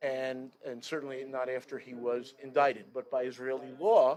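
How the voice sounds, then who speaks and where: The voice belongs to a man with a New York accent. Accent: New York American. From US Northeast. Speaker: guest speaker. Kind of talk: speech to congregation. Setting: outdoor chapel. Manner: halting.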